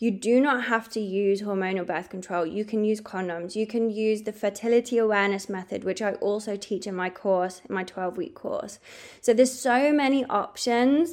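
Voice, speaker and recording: At a moderate pace, a woman with an English accent speaks in a fairly high voice with ordinary pitch variation. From England. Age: 30s. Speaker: podcast host, holistic health coach. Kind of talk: solo podcast monologue, personal story.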